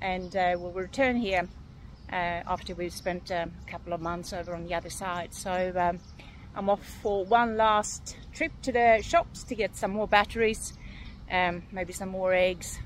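A woman talks at a fairly slow pace. Behind her, there is music. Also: fairly even intonation, dry sound with no echo. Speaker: boat owner vlogger. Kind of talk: casual vlog chat. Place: waterside. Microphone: phone near.

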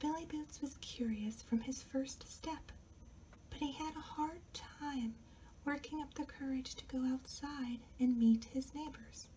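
Someone soft-spoken talks fairly slowly over light background noise. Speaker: author reading own book. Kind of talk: ASMR story reading, quiet storytime. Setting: home recording with air conditioner noise and outside neighborhood noise. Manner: quiet, soft-spoken.

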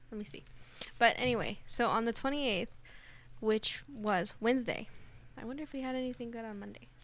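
In a dry recording with no echo, a woman speaks at a fairly quick pace with fairly even intonation, big swings in loudness, and long, frequent pauses. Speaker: board operator and panelist, college student; panelist. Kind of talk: casual chat. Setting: studio. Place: studio. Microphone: studio mic.

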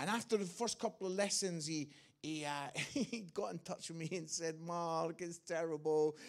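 In a quiet setting, a man with a high voice speaks at a moderate pace using fairly even intonation. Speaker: guest preacher. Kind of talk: sermon. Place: church. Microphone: handheld.

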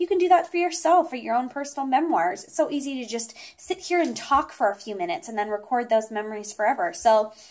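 Very fast delivery with very wide pitch swings, big swings in loudness and hardly any pauses. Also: woman, high pitch for a woman. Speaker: product reviewer. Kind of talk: product review talk. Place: home room.

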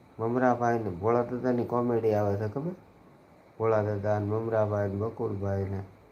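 A man with a normal speaking voice, fairly low pitch and fairly even intonation. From Gujarat, Bhavnagar district. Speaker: livestreamer and local news reporter. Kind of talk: casual live stream chat.

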